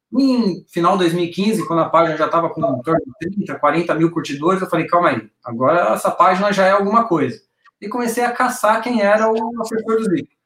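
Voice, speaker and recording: A man speaks in a high voice with lively intonation. He barely pauses at all. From Brazil, São Paulo. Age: 40s. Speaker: fan project organizer. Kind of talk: casual chat. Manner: fast.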